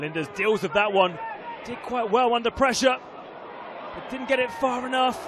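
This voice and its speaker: Big swings in loudness, long and frequent pauses, ordinary pitch variation and a moderate pace, over noticeable background noise. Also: man, extremely high pitch for a man. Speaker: football match commentator. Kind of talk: live sports commentary on a football match, highlights voiceover.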